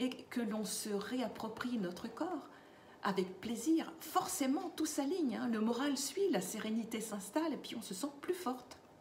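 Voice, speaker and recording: At a fairly slow pace, a woman speaks with a high pitch and lively intonation, with audible room echo and noticeable background noise. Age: 60s. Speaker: lifestyle vlogger for seniors. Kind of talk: casual vlog monologue. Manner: hesitant, with fillers.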